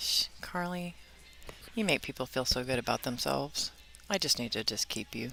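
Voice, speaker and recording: Music plays behind a woman with a very deep, low pitch and lively intonation. She leaves long, frequent pauses. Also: moderate pace. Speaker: pool player and commentator. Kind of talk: live commentary.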